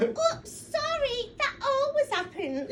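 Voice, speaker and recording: A woman's put-on character voice, squeaky and extremely high in pitch, with very wide pitch swings, a very slow pace and clear background noise. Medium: audio drama. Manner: chatty, excitable.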